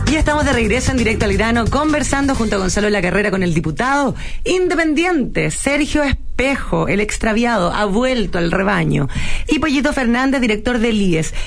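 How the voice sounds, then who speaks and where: A woman with a Chilean accent speaks at a fairly quick pace and a fairly high pitch, her voice making very wide pitch swings at very even loudness, with noticeable background noise and audible room echo. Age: 40s. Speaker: radio host. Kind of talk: casual chat.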